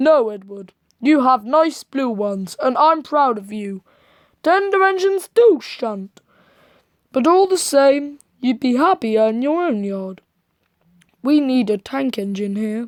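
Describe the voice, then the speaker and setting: Using a put-on character voice pitched high, a woman swings her pitch very widely and leaves long, frequent pauses, all on a very clean recording with a silent background. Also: fairly slow pace. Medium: read story. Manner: firm, authoritative.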